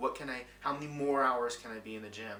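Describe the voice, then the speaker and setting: Fairly even intonation at a moderate pace, with audible room echo and music in the background. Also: man. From Louisiana. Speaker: actor and vlogger. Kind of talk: personal reflection vlog.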